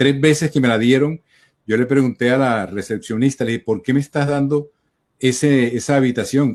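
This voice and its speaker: With a Colombian coastal accent, a man speaks at a fairly high pitch and a moderate pace, with ordinary pitch variation. The sound is dry and close with no echo, over a quiet background. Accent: Colombian coastal (costeño), drops s sounds. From Colombian Caribbean coast, Cartagena. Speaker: journalist. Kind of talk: interview. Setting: video call.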